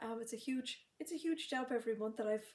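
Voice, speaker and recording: A soft-spoken, somewhat breathy woman with a fairly high pitch at a fairly quick pace. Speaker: sewing box shop owner and live stream host. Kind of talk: live stream chat. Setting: livestream. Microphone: may be too quiet.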